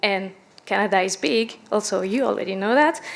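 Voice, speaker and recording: A woman speaks with a French accent at a moderate pace. Noticeable background noise runs under her voice. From France. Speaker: product manager, panelist. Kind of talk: conference panel presentation.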